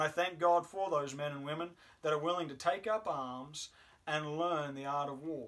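At a moderate pace, a man delivers his words. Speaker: chaplain or preacher. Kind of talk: sermon. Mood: solemn, reflective. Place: home room. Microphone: camera far.

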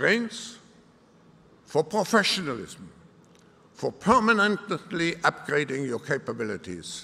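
A bright, sharp tone rides on very wide pitch swings. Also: man, fairly slow pace. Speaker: keynote speaker. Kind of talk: formal speech. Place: hall. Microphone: podium.

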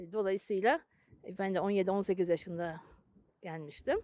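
This woman's voice sits at a medium pitch and has a dark, mellow tone. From Turkey, youth partly in Germany. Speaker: former German translator. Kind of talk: interview.

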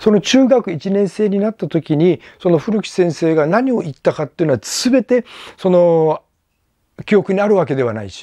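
A man's high-pitched voice with a dark, mellow tone and lively intonation at a moderate pace, dry with no echo over a quiet background. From Japan, Amami Oshima; Japan. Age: 60s. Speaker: YouTuber and tour guide; former student recalling a teacher. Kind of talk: casual monologue vlog. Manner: halting, many fillers; polite, formal. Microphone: lapel.

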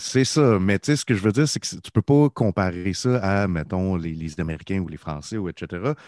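A man's very deep, low voice with a Quebec accent, lively intonation, a moderate pace and hardly any pauses. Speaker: podcast co-host. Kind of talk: casual chat.

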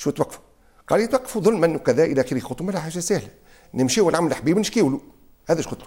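Against a quiet background, a man with a dark, mellow tone and a high pitch talks at a very fast pace with very wide pitch swings. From Tunisia. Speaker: son of a former prime minister. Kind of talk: interview. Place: home room. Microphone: lapel.

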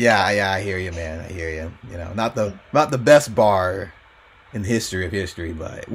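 A man mumbles in a put-on character voice with a very deep, low pitch. His pace is moderate. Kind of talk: casual modern-slang comedic. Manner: mentally checked out, rambling, mumbly.

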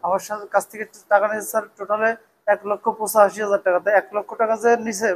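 A man talks in a high voice with a monotone, flat intonation. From Bagerhat, Bangladesh; Bangladesh. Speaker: cloth trader, crime victim. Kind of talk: testimony to police. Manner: halting. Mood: aggrieved, urgent. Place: hall.

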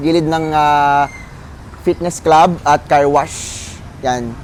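Noticeable background noise fills the recording. Over it, a man talks. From Philippines, South Cotabato. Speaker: feed store vendor. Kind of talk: sales pitch. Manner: upbeat, promotional, with filler pauses.

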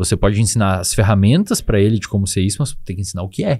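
A very fast, somewhat breathy voice with ordinary pitch variation on a very clean recording with a silent background. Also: man. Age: 20s. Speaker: psychologist and neuroscience expert. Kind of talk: casual interview chat.

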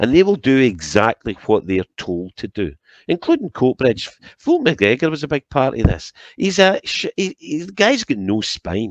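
A man with a Scottish accent talks at a medium pitch and moderate pace, his voice showing vocal fry and very wide pitch swings. The sound is dry with no echo, and the background is quiet. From Scotland. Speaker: political commentator. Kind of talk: angry political rant. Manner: indignant, impassioned; repetitive, stumbling over words. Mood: critical, indignant. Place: home room. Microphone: headset.

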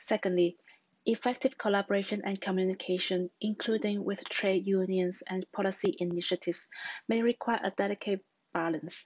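Her pace is moderate and her intonation fairly even. The woman is heard over a quiet background. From Hong Kong. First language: Cantonese. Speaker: job applicant, researcher. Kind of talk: scripted self-introduction for job application. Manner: formal, prepared. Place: home room. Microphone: webcam.

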